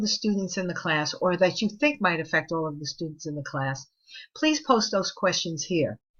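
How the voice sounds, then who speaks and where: A woman speaks with a New York accent. Her pitch swings very widely. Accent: New York City (Bronx). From New York City, Spanish Harlem and the Bronx. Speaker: college professor. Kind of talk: recorded online course lecture. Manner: conversational.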